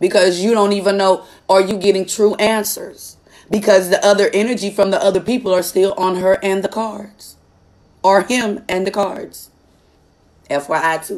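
A woman at a medium pitch talks at a moderate pace with ordinary pitch variation. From Texas, Dallas. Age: 30s. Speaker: tarot reader; card reader. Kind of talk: live stream chat with viewers. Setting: live stream. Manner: animated. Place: home room. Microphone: phone near.

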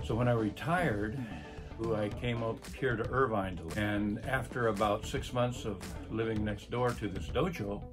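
Clear music plays in the background as a man speaks at a fairly low pitch. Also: ordinary pitch variation, moderate pace. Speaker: retired police officer. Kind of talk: interview answer. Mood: warm, appreciative. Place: office. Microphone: phone near.

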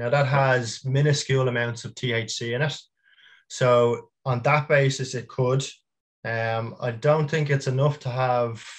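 A somewhat breathy voice speaks slowly, fairly so, in a Dublin accent. The background is quiet. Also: man. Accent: Dublin Irish. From Dublin, Ireland; Ireland. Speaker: small business founder; guest. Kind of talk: casual interview chat. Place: home room.

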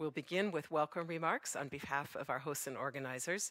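Fairly quick speech over a quiet background, in a dry sound with no echo. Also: woman. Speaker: event moderator. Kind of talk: event moderation introduction. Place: stage. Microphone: headset.

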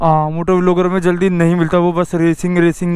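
A fairly quick, high-pitched male voice with little pitch movement and a slightly mellow tone.

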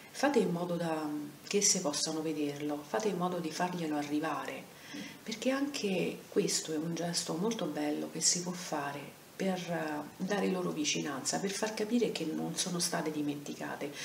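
A woman speaks in a very deep, low pitch. Audible room echo and light background noise surround her voice. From Rome. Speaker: anti-violence centre president. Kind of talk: video lecture. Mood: earnest, warm, reassuring. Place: home room. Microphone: webcam.

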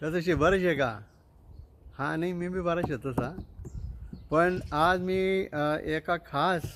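His intonation holds fairly even. The speaker is a man with a high pitch. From Khandesh, Dhule district, Maharashtra, India. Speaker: event speaker promoting a conference. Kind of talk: promotional announcement.

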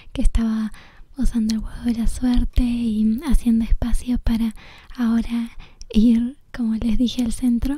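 A soft-spoken woman's whisper at a fairly slow pace, dry with no echo. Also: quiet background. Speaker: ASMR creator. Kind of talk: ASMR gameplay commentary. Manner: whispered.

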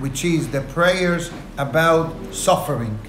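A man's fairly slow speech is heard with noticeable background noise behind it. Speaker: rabbi. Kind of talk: lecture. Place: office. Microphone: lapel.

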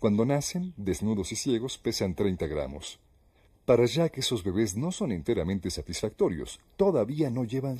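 A man's dark, mellow voice at medium pitch with vocal fry, very wide pitch swings and a fairly slow pace, on a very clean recording with a silent background. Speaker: documentary narrator. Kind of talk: nature documentary narration. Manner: even, measured, formal narrator delivery.

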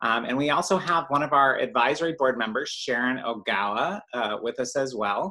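A man speaks in a bright, sharp tone with ordinary pitch variation. The background is quiet. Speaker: host. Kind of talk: meeting introduction. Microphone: video call.

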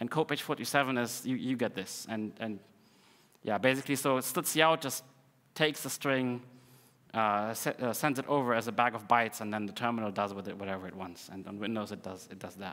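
A man talks in a bright, sharp tone at a fairly quick pace. His loudness swings widely. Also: ordinary pitch variation. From Russia. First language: Russian. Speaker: conference speaker, developer advocate; conference speaker. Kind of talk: technical conference talk. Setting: conference stage with audience. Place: hall.

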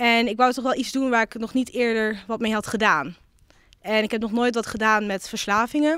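A woman speaks at a moderate pace in a fairly high pitch with ordinary pitch variation, her voice dry and echo-free against a quiet background. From Netherlands, Twente (Almelo); Netherlands. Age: 20s. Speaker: local councillor and psychology student; local councillor. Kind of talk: interview. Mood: warm, reflective. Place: hall. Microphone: handheld.

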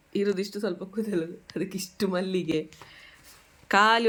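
A woman with a medium pitch and fairly even intonation speaks in a normal speaking voice. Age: 20s. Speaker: vlogger. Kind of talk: casual family vlog narration.

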